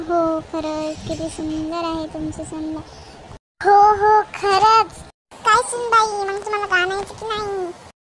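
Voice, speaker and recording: Using a cartoonish character voice, a woman talks at a fairly slow pace in an extremely high pitch. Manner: gossipy.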